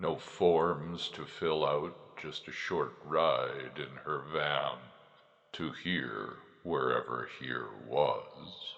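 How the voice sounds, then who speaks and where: In a put-on character voice, a man talks at a very slow pace with a very deep, low pitch. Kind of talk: horror narration. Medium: read story. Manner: slow, ominous.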